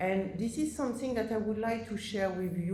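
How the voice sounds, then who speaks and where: A somewhat breathy woman speaks with ordinary pitch variation. Audible room echo surrounds her voice. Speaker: oncology professor. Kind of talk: conference presentation. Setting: conference stage with audience. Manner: halting with fillers.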